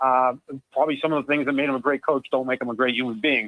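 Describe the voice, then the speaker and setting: The man's pitch sits in the medium range. He talks at a very fast pace. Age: 60s. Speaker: football writer and podcaster. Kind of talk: sports radio interview. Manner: animated.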